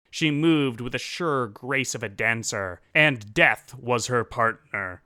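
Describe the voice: The text is read aloud plainly, its pitch varying in an ordinary way.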